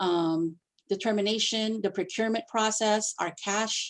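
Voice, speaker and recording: In a very clean recording with a silent background, a woman talks at a moderate pace and medium pitch with ordinary pitch variation, an ordinary speaking voice. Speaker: district finance staff presenter. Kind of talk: presentation at board committee meeting.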